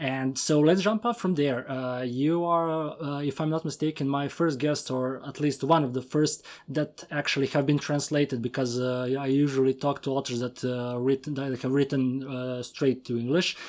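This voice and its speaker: In a Serbian accent, the speaker keeps a moderate pace with hardly any pauses and fairly even intonation, on a very clean recording with a silent background. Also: man, fairly high pitch for a man. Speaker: podcast host. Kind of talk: interview.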